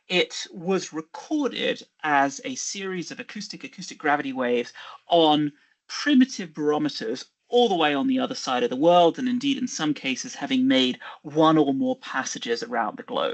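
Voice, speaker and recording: Here a man speaks at a moderate pace. His high voice makes very wide pitch swings. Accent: British. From England, Birmingham. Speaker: geophysicist. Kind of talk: lecture.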